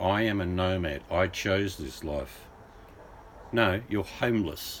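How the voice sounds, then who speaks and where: A man speaks with ordinary pitch variation. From England. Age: 60s. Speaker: livestreamer. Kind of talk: casual chat.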